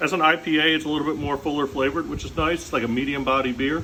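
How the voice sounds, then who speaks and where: A man rattles off his words very fast while clear background noise carries on behind him. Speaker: comedian vlogger. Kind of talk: casual monologue.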